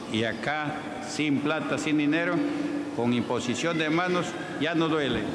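The speaker goes at a fairly slow pace with long, frequent pauses. Noticeable background noise runs underneath. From Peru. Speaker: pastor. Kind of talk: church healing testimonies. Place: church. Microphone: handheld.

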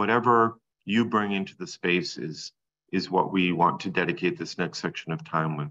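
This is a man's voice. His pitch is fairly low. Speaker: meeting host. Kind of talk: meeting facilitation. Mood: calm, welcoming. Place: home room. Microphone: video call.

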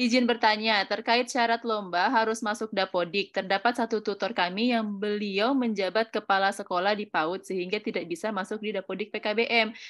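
Over a quiet background, a woman talks at a fairly quick pace with a fairly high pitch. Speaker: event moderator. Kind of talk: online webinar moderation. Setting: video call. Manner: animated. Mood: friendly, upbeat. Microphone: webcam.

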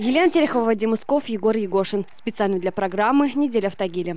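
A woman with lively intonation at a fairly quick pace, the sound dry with no echo and faint music in the background. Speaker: TV news reporter. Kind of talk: scripted narration.

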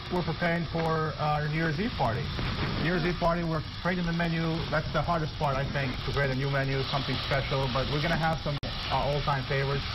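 Very fast speech from a man amid loud background noise. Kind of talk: interview answer. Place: studio. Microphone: lapel.

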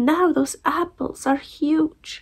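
The background stays quiet. A woman does the talking. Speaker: vlogger. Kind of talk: casual vlog chat. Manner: weak post-surgery voice under dressing. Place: home room. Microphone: phone near.

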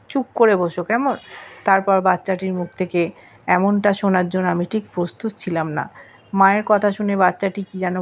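It's an unforced reading voice with fairly even intonation.

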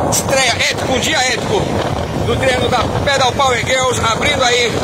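Loud background noise competes with a man talking at a moderate pace. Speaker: cycling commentator filming from motorbike. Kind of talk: live sports commentary. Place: motorbike.

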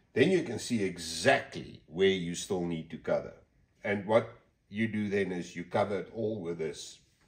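In front of a quiet background, a man delivers his words at a fairly slow tempo. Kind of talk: tutorial. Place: workshop. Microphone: phone near.

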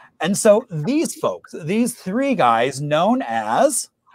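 A man's high-pitched, enthusiastic, upbeat voice with very wide pitch swings, in a dry sound with no echo and a quiet background. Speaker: host of a history trivia show; local historian. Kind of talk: presentation talk to an online audience. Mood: enthusiastic, friendly.

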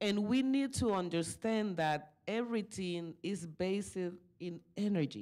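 A woman with a Spanish accent, dark and mellow in tone, at a fairly slow pace with ordinary pitch variation against a quiet background. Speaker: community activist; panelist. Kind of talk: conference panel talk. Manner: halting. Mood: earnest, spiritual reflection. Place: meeting room. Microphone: podium.

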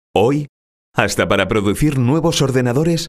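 A man is speaking. The background is quiet. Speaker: professional voice-over announcer. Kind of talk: corporate narration. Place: studio.

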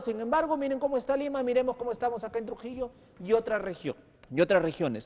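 Extremely high-pitched, a man talks at a very fast pace with ordinary pitch variation. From Peru. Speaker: TV news host. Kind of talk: political interview. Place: studio. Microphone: lapel.

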